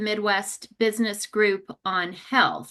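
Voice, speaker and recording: Loud speech with an American accent, bright, sharp in tone, at a very slow pace against a quiet background. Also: woman. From New York. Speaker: oncology benefits expert, guest speaker. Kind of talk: webinar presentation. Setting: online webinar.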